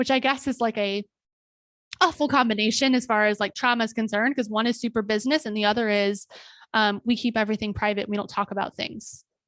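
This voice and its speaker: A woman's fairly high, animated voice, dry and close with no echo, on a very clean recording with a silent background. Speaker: podcast host and occupational therapist. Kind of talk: personal testimony. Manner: loud.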